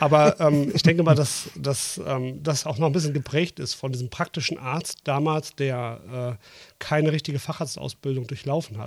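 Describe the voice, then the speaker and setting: A man with a slight Ruhr accent speaks at a moderate pace with hardly any pauses, his fairly high voice somewhat breathy and varying in pitch in an ordinary way. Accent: slight Ruhr area. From Dortmund, Ruhr area. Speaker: co-host, general practitioner, former anaesthetist. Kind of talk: casual chat. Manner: hesitant with filler sounds.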